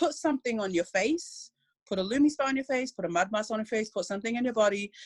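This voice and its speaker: Against a quiet background, a woman talks at a very fast pace in a fairly high, somewhat breathy voice with lively intonation and a dry, close sound with no echo. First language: not English. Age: 20s. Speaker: network marketing distributor. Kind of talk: video call testimony.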